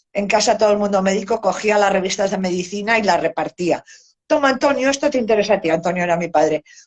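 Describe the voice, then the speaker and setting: A woman races along at a very fast pace with a medium pitch. Her intonation is lively. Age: 70s. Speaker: family caregiver, retired dentist and financial consultant. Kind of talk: interview testimony. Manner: hesitant, with fillers.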